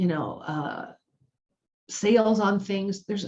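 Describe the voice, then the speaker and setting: A woman speaks at a moderate pace with medium pitch and ordinary pitch variation. Her tone is dark and mellow, and somewhat breathy. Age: 60s. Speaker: self-help video host. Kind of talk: motivational talk. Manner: casual, conversational with hesitations.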